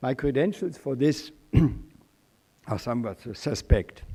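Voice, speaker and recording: With a Swiss accent, a man speaks in a dark, mellow tone. His pitch variation is ordinary. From Switzerland. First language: German. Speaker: journalist and former diplomat, guest speaker. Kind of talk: commencement speech. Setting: stage with audience.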